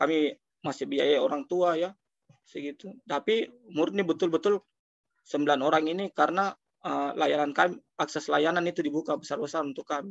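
Against a quiet background, a man with a fairly high voice and ordinary pitch variation talks at a fairly quick pace. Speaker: social foundation director; webinar speaker. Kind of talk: webinar talk. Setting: video call. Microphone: video call.

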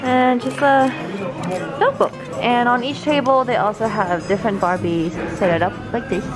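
A woman's voice with ordinary pitch variation over loud music in the background. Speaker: vlogger. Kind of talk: casual vlog chat. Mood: excited, playful. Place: cafe. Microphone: phone near.

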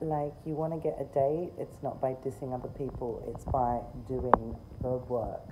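Through loud background noise, a woman talks at a fairly slow pace. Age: 40s. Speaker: video creator. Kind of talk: rant. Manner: sarcastic, emphatic. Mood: opinionated, mildly indignant. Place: garden. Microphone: phone near.

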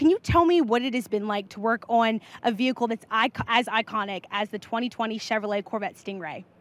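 A woman with an ordinary speaking voice talks at a fairly quick pace with hardly any pauses, her fairly high voice showing ordinary pitch variation in a dry sound with no echo. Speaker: livestream presenter. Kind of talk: event interviews. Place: hall. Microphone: handheld.

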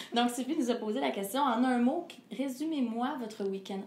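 The voice is somewhat breathy, with lively intonation at a moderate pace. Audible room echo and light background noise come through. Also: woman. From Quebec. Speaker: singer; interviewee. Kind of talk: interview. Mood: calm, reflective. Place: home room.

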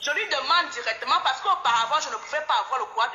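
A woman talks at a very fast pace, her pitch swinging very widely. Audible room echo surrounds her against a quiet background. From Cameroon. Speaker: caller. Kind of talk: testimony. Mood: reflective, sometimes amused. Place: home room. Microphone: phone near.

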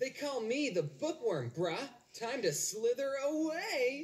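A cartoonish character voice sits at a fairly high pitch and swings very widely in pitch. It moves at a fairly slow pace. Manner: smug, condescending.

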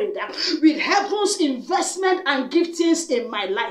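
Loud and intense, a woman's extremely high voice rises and falls with lively intonation, with audible room echo over a quiet background. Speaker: prayer minister. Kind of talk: fervent prayer, commanding declarations and spiritual warfare. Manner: forceful, loud, rhythmic repetition, commanding; urgent, intense, declarative. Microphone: webcam.

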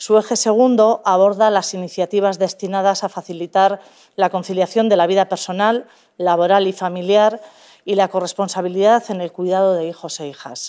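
A woman speaks at a moderate pace in a dark, mellow tone, her intonation fairly even. Her loudness swings widely against a quiet background. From Basque Country. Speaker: government official; public presenter. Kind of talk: formal presentation. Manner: formal. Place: hall.

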